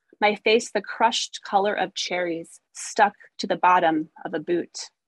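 Heard in a dry, close sound with no echo, a woman with an American accent has an unremarkable speaking voice and ordinary pitch variation. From US Midwest, rural Missouri. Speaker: poet. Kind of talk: poetry reading. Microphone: phone.

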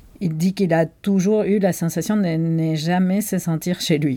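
A woman's fairly low voice with a Spanish accent, dark and mellow in tone, at a fairly slow pace. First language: Spanish (speaking French). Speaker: bookseller, podcast co-host. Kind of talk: casual chat about books.

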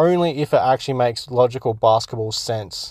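In a very clean recording with a silent background, a man with an Australian accent speaks at a moderate pace with ordinary pitch variation. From Australia, Perth. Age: 30s. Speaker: podcast host. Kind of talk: casual solo podcast commentary. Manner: halting, many fillers.

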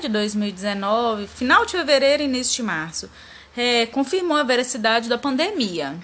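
At a moderate pace, a woman with a fairly high pitch and lively intonation talks in an unremarkable speaking voice. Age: 30s. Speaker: lab receptionist. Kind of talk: interview answers.

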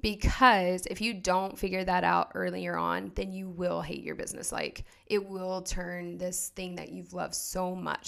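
A woman with an American accent speaks at a fairly slow pace. The recording is very clean, with a silent background. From Oklahoma. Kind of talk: interview.

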